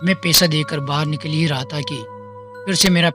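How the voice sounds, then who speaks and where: Music plays in the background as a man speaks in a fairly high pitch with ordinary pitch variation. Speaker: podcast host. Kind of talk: horror story narration.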